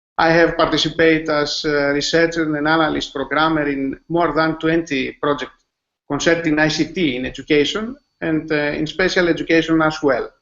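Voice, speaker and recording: The delivery is fairly quick and monotone, with flat intonation. It comes from a man with a fairly high pitch. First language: Greek. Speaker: school IT manager and teacher. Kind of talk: webinar presentation. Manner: halting, many fillers.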